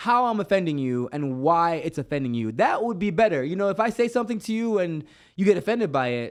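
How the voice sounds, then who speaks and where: Lively intonation carries a fairly quick pace in an American accent. The recording is very clean, with a silent background. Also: man. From Jamaica. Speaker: podcast host. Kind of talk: casual interview chat. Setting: studio.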